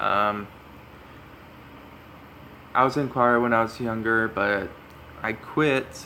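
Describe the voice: A man's raspy voice, fairly low in pitch, bright and sharp in tone, with fairly even intonation at a slow pace.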